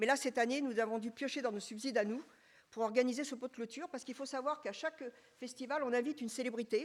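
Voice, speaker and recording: A woman with a high pitch talks at a very fast pace, her intonation fairly even. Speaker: association president. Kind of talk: public meeting presentation. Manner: hesitant, many fillers.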